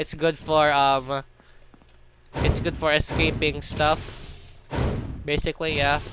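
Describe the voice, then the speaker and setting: Speech at a very slow pace, broken by long, frequent pauses, plays with music in the background. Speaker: gaming video creator. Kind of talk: tutorial. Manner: halting, stuttering.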